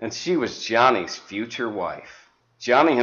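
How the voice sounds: Set against a quiet background, a natural reading voice carries lively intonation.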